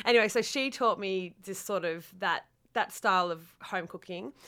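A woman with an Australian accent, bright, sharp tone and lively intonation at a moderate pace, in a very clean recording with a silent background. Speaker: cook. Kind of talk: interview.

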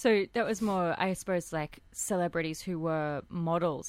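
A woman with an Australian accent and fairly even intonation. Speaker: radio host. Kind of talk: radio DJ patter, show intro and outro. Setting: radio studio. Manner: friendly, chatty, fluent.

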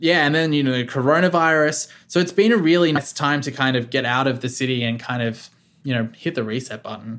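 Fairly quick and fairly high-pitched, a man talks in an Australian accent with ordinary pitch variation. The recording is very clean with a silent background. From Australia, Victoria South Coast. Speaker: radio producer. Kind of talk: casual interview.

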